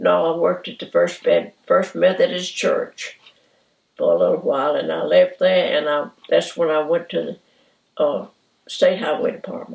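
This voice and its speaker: A woman with a Southern US accent at a moderate pace, with big swings in loudness. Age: 80s+. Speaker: retiree. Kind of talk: oral history interview.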